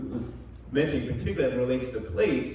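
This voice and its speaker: Amid noticeable background noise and audible room echo, a man with a Philadelphia accent speaks at a medium pitch with ordinary pitch variation. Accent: West Philadelphia. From Philadelphia (West Philadelphia). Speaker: professor and assistant dean. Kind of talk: panel discussion. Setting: church event with audience.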